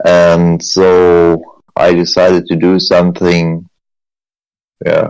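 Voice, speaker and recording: With a German accent, a man speaks at a very slow pace in a very deep, low pitch, his monotone, flat intonation broken by long, frequent pauses. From Germany. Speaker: military veteran, sniper and paramedic. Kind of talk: interview testimony. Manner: halting.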